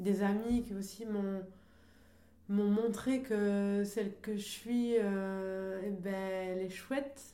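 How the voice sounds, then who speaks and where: A woman speaks at a very slow pace with fairly even intonation. Audible room echo and noticeable background noise fill the recording. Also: medium pitch for a woman. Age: 30s. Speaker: artist and singer. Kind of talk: radio interview.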